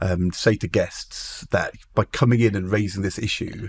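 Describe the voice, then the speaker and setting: A man's somewhat breathy voice, fairly low in pitch, at a moderate pace with fairly even intonation. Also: very clean recording, silent background. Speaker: former politician, TV presenter. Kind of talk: podcast interview talk. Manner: stammer.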